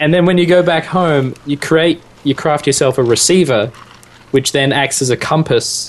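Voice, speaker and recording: A man with an Australian accent speaks at a moderate pace in a fairly high pitch. His loudness stays very even, and his pitch varies in an ordinary way. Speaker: podcast co-host. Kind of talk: casual chat.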